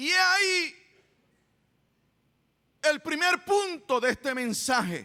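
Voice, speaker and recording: With long, frequent pauses and a very slow pace, a man speaks in a raised, projected voice at an extremely high pitch. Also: lively intonation. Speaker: church pastor giving a sermon. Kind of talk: sermon.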